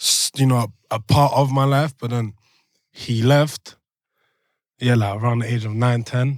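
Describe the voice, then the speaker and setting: Monotone and flat in intonation, a man with a London accent speaks at medium pitch with long, frequent pauses, in a dry, close sound with no echo on a very clean recording with a silent background. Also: moderate pace. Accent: London multicultural English. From Belgium, Brussels, moved to London at eleven. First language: French. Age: 20s. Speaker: rap artist. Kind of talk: podcast interview. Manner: casual, halting with many fillers.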